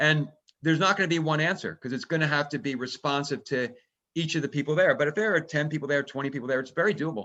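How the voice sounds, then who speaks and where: His pitch runs fairly high, with ordinary variation. The man has an ordinary speaking voice. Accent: American. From New Jersey. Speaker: author. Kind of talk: webinar conversation.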